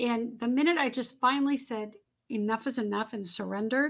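Her pitch high and her intonation fairly even, a woman speaks at a moderate pace on a very clean recording with a silent background. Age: 50s. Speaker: former model and author. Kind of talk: interview.

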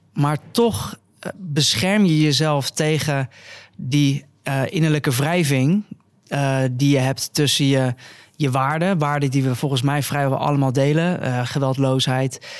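On a very clean recording with a silent background, a man speaks at a very slow pace. His pitch is fairly high with ordinary variation, and his loudness stays very even. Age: 20s. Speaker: biologist and vegan influencer. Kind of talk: casual interview. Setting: on location at a cafe venue.

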